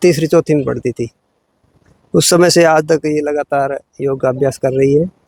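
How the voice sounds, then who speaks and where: In a plain, everyday voice, a man with fairly high pitch talks at a moderate pace with fairly even intonation, the sound dry and close with no echo. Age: 60s. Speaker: yoga teacher. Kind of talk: interview.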